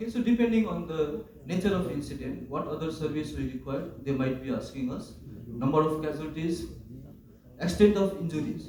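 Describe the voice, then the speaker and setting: A man's fairly high-pitched voice with lively intonation, amid audible room echo and noticeable background noise. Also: fairly quick pace. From Nepal. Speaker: first aid trainer. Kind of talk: training class.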